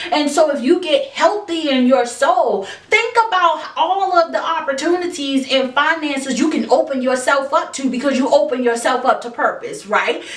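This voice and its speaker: A woman at high pitch with hardly any pauses, audible room echo and noticeable background noise. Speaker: self-help podcast host. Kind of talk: motivational monologue. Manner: slow; halting.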